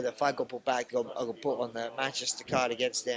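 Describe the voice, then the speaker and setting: Fairly quick male speech in a London accent. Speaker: mixed martial arts fighter. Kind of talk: media interview. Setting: fight media day. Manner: halting, many restarts.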